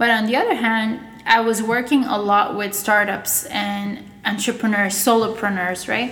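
A woman speaks at a fairly high pitch and a moderate pace with fairly even intonation. Noticeable background noise and audible room echo are present. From Russia/Bulgaria, raised in Montreal from age ten. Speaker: agency owner. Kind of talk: interview.

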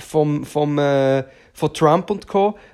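A very slow pace in a very clean recording with a silent background. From Switzerland, Aargau. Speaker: podcaster and performer. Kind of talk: solo monologue. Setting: at home on the sofa. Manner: loud.

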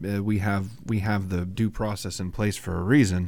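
At a moderate pace, a man with a plain, everyday voice speaks with a fairly low pitch and fairly even intonation. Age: 30s. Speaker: podcast co-host, IT worker. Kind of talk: casual chat.

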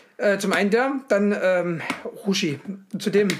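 A man talks in a high pitch with ordinary pitch variation. Noticeable background noise is present. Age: 30s. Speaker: podcast co-host. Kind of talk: casual chat.

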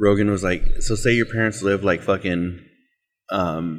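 This man's pitch is very deep and low. The recording is very clean, and the background is silent. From Mexican-American, US Southwest. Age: 30s. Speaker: podcast host. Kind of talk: casual chat. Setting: on location.

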